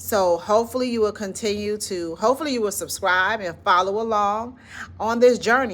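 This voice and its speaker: A woman with a Southern accent and ordinary pitch variation. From US South, Florida. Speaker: educator and channel founder. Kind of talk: motivational talk to camera. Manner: conversational, informal.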